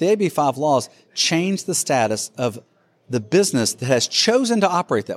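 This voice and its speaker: Very wide pitch swings and big swings in loudness at a moderate pace, with an American accent, in a very clean recording with a silent background and a dry, close sound with no echo. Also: man, fairly high pitch for a man. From Alabama, US South. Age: 50s. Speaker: freight technology executive. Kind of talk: casual interview.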